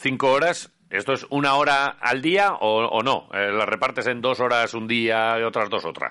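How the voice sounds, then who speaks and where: Bright and sharp in tone, a man at medium pitch talks at a fairly slow pace with ordinary pitch variation and hardly any pauses. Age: 40s. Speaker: radio host. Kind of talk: casual interview. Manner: halting.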